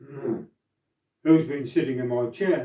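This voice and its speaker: A man puts on a character voice at a medium pitch, speaking at a fairly slow pace. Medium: read story.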